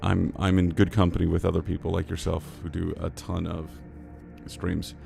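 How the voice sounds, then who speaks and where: The speech moves at a moderate pace in a flat monotone. Noticeable background noise runs underneath. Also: man. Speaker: livestreamer. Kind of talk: casual livestream chat. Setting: livestream.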